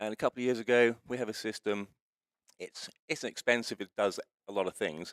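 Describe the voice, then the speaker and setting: With a British accent, a man speaks at a fairly quick pace in a dry, close sound with no echo. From United Kingdom. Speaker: racing electronics company founder. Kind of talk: interview.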